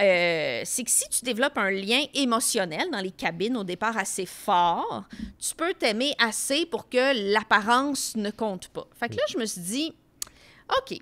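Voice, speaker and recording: With a bright, sharp tone and lively intonation, a woman speaks at a fairly high pitch and a fairly slow pace, her loudness rising and falling sharply. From Quebec, Tracy; Quebec. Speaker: comedian podcast co-host, pop culture columnist; comedian podcast co-host. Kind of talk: casual chat. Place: studio. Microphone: studio mic.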